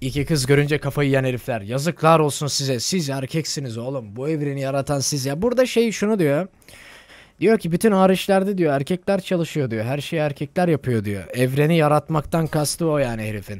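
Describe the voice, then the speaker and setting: A man's fairly high, animated voice with lively intonation at a moderate pace, dry with no echo, over a quiet background. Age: 20s. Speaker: gaming streamer. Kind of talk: casual live stream commentary. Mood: joking, swearing, animated. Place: home room. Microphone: studio mic.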